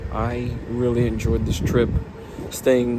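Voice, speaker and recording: With an American accent, a man talks at a fairly slow pace amid noticeable background noise and audible room echo. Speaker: railfan vlogger. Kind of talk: vlog outro.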